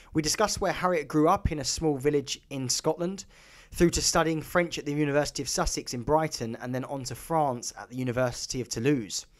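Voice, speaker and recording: An ordinary speaking voice, a man talks at a fairly quick pace in a fairly high pitch with ordinary pitch variation. His loudness swings widely. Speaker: podcast host. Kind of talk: podcast intro.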